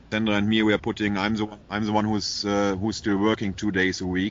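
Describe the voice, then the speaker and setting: At a moderate pace, a man with a German accent speaks in a fairly low voice with monotone, flat intonation. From Germany. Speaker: animal shelter founder. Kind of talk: interview.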